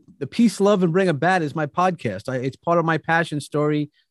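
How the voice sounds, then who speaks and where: Against a quiet background, a man talks at a fairly quick pace in a high pitch. He has a New York accent and lively intonation. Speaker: motivational speaker. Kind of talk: casual chat.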